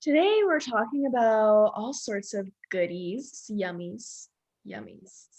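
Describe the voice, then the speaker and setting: Loudness swings widely while the intonation stays lively and the pace is very slow. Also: woman, fairly high pitch for a woman. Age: 20s. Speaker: podcast co-host, network marketer. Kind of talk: casual chat. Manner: animated.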